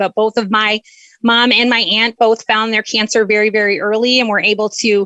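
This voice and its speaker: The woman's tone is passionate, bright and sharp, her pitch fairly high, and the sound is dry and close with no echo. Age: 40s. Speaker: charity fundraising manager. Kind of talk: interview.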